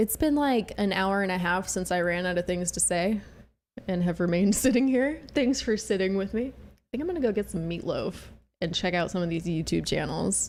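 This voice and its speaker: Soft-spoken, a woman talks at a fairly quick pace with lively intonation on a very clean recording with a silent background. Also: medium pitch for a woman. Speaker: livestreamer. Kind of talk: casual chat. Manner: quiet, had to learn to talk louder.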